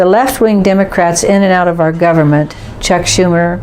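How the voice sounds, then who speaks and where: Amid noticeable background noise and audible room echo, a woman speaks at a fairly low pitch with fairly even intonation. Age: 70s. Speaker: political commentator. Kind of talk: opinion monologue. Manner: formal.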